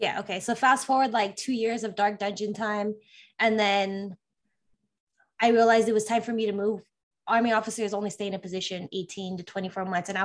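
A woman speaks in a normal speaking voice with an American accent, at a medium pitch and a fairly quick pace. Her intonation is fairly even, and the background is quiet. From California. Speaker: army officer and tech project manager. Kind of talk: interview.

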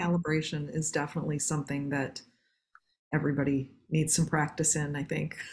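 A woman speaks at a fairly quick pace with a very deep, low pitch. Her delivery is somewhat breathy, with monotone, flat intonation. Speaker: podcast host and business coach. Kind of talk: interview conversation with scripted intro.

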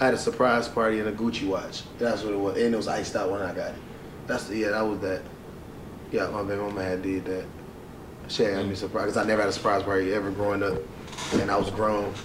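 A man talks very fast at a fairly low pitch, with long, frequent pauses. His intonation is monotone and flat, over noticeable background noise. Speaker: podcast co-host. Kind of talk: casual banter.

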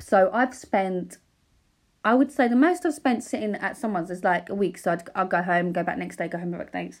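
Recorded very cleanly against a silent background, a woman speaks with an Essex accent at medium pitch. Her intonation is lively and her pace fairly quick. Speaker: paparazzi photographer and podcaster. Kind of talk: casual solo podcast monologue. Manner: unscripted, hesitant with fillers. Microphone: new microphone.

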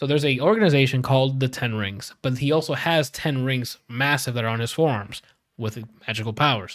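A man at a medium pitch with an unremarkable speaking voice and a fairly quick pace. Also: ordinary pitch variation. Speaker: podcast host. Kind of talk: casual banter among gamer friends. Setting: live video recording stream. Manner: casual, profane, upbeat.

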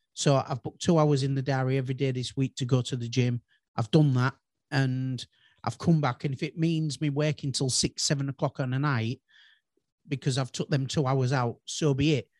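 A normal speaking voice from a man, fairly high in pitch, with fairly even intonation. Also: dry, close sound with no echo. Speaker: business owner. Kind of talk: casual chat.

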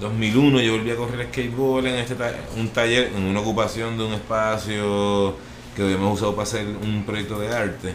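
A man speaks in a flat, monotone way at a moderate pace, his pitch fairly low. The room adds audible echo. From Puerto Rico, Vega Alta. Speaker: skateboarder and artist. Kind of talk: casual interview chat.

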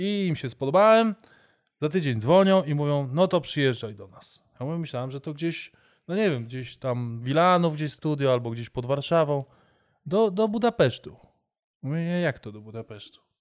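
Over a silent background in a very clean recording, a man with fairly high pitch speaks at a moderate pace, his intonation lively and his loudness swinging widely. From Warsaw, Poland. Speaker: amateur basketball player and voice-over artist. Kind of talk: casual chat. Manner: animated.

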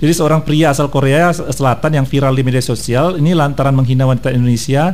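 The speech comes at a very fast pace with fairly even intonation. Audible room echo and noticeable background noise fill the recording. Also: man. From North Sumatra (Batak). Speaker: radio co-host. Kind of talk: casual morning radio chat. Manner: loud.

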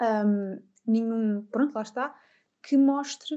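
A woman's dark, mellow voice in a European Portuguese accent, with ordinary pitch variation and a quiet background. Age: 20s. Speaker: psychologist. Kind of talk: interview.

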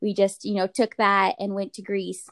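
Speaking at a very fast pace, a woman with a medium pitch is heard in a dry, close sound with no echo. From Russian immigrant family, raised in US Pacific Northwest. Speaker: medical student. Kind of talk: casual interview chat.

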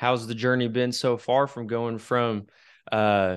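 A man with an American accent, medium in pitch, flat and monotone at a fairly slow pace, against a quiet background. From Wichita, Kansas. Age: 20s. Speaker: podcast host. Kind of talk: casual interview chat.

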